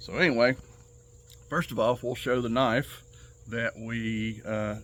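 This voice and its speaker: A man's medium-pitched voice with a Southern US accent, fairly slow pace, and long, frequent pauses. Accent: Southern twang. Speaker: knife enthusiast YouTuber. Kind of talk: casual show-and-tell tutorial. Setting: outdoors on back patio. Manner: casual, hesitant with many fillers.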